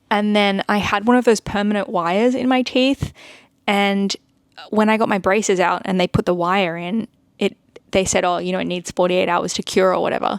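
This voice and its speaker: This woman speaks in an Australian accent at a fairly quick pace. Her intonation is fairly even, and the sound is dry and close with no echo. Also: medium pitch for a woman. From Australia (Sydney). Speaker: art content creator. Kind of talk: casual vlog chat. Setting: home, seated.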